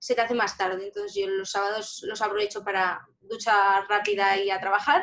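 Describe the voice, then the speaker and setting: With hardly any pauses, a woman talks at a moderate pace and a medium pitch in a monotone, flat intonation. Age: 20s. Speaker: lottery shop owner and psychology student. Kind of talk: interview. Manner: halting.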